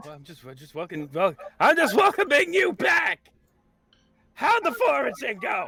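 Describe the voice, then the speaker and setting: A man's put-on character voice, extremely high and raised and projected, at a moderate pace with long, frequent pauses. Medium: actual play. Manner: loud, jovial.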